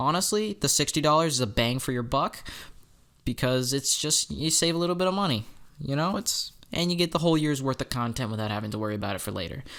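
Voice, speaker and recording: Very fast and lively in intonation, a man speaks in a fairly high pitch. The recording is very clean, with a silent background. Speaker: gaming youtuber. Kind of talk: tutorial. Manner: stuttering at times; casual, self-correcting.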